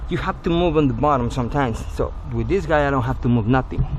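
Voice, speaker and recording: Against noticeable background noise, a man with a non-native accent speaks with lively intonation. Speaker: auto glass technician. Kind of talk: tutorial. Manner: casual.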